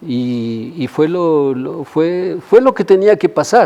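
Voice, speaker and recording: Lively in intonation, a man speaks at a fairly slow pace with a fairly high voice. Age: 60s. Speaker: dancer and choreographer. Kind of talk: interview. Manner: halting.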